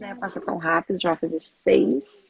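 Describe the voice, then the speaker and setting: A woman with a Rio de Janeiro accent and lively intonation. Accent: Rio de Janeiro (carioca) accent, noticeable. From Brazil, Rio de Janeiro. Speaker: doula and samba teacher. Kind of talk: casual interview chat. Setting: live video stream.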